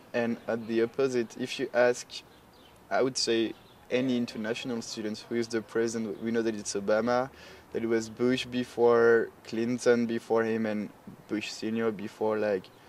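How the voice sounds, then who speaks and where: A man speaks at medium pitch with a French accent. His intonation is monotone and flat, at a moderate pace. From France. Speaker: international student. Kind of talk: interview.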